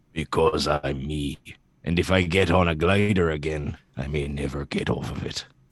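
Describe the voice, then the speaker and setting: At a moderate pace, a man speaks with fairly even intonation in a very deep, low voice. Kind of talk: comic dramatic reading. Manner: regretful, gruff.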